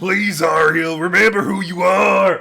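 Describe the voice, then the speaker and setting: In a raspy, put-on character voice, a man speaks at a fairly slow pace and high pitch. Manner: sad, tearful.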